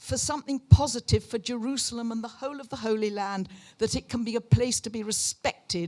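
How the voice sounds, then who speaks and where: Her high voice carries lively intonation as the woman talks. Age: 80s+. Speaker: audience member at public meeting. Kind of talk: audience question at public meeting. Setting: public meeting hall, handheld microphone. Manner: animated.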